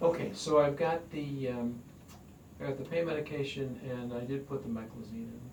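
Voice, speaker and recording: Amid noticeable background noise and audible room echo, a man speaks at a moderate pace with a fairly high pitch, fairly even intonation and big swings in loudness. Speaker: doctor. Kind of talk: doctor's appointment conversation. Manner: calm, reassuring.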